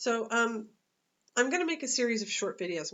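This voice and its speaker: Her pitch is fairly high for a woman. She talks at a very fast pace. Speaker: dog walker and pet sitter. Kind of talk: casual vlog monologue. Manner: halting, many fillers.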